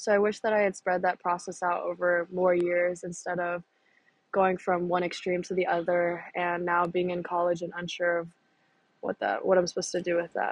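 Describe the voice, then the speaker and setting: In an American accent, a woman talks with a fairly low pitch. Her intonation is monotone and flat. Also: moderate pace. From North Carolina, US. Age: young. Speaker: college student. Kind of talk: personal reflection.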